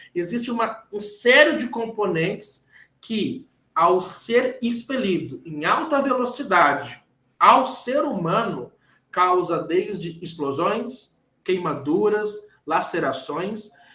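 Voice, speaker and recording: Using a raised, projected voice, a man speaks at a very slow pace with a high pitch, a bright, sharp tone and very wide pitch swings. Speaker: engineer giving a lecture. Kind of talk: lecture. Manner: halting, repeats words.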